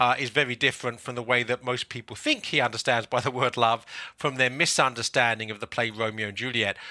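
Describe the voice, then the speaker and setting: Over a silent background in a very clean recording, a man with a southern English accent talks at a fairly quick pace, his medium-pitched voice bright and sharp in tone. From London, England. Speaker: author and publisher. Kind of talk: casual interview.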